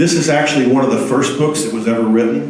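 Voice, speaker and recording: Amid noticeable background noise and audible room echo, a man with a medium pitch talks at a fairly quick pace with ordinary pitch variation. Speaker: software developer giving a meetup talk. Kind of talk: conference talk. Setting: meetup talk with audience. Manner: halting, many fillers and repeats.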